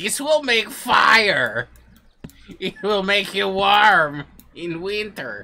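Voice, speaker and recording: Put-on character voice, raised and projected, at a very slow pace with long, frequent pauses. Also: man, high pitch for a man. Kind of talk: casual gameplay commentary. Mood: playful, jokey.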